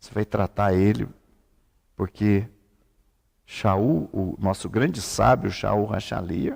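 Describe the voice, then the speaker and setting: At a very slow pace, a man talks with a fairly low pitch and vocal fry. The sound is dry and close, with no echo. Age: 70s. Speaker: rabbi. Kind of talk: religious teaching. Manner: seated while teaching.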